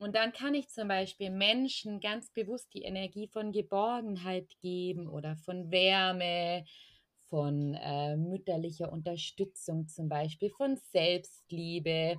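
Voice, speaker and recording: A woman at medium pitch, with ordinary pitch variation and a very slow pace. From Allgäu, southern Germany. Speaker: energy healer and spiritual coach. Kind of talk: casual interview.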